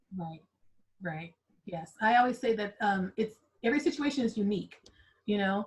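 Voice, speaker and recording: This woman's fairly high, somewhat breathy voice moves at a fairly quick pace with lively intonation. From Southern California. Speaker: accountant, podcast host. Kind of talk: casual interview chat. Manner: conversational, many fillers.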